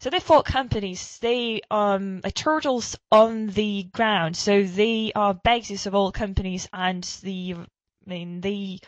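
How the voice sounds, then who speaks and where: At a fairly slow pace, a woman with a medium pitch speaks with fairly even intonation. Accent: London. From London, England. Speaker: language teacher. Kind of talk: online seminar lecture. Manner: hesitant, many fillers.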